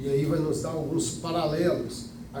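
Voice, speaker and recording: A man speaks slowly at a fairly high pitch. Audible room echo and noticeable background noise surround his voice. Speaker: Bible school teacher. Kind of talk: lecture.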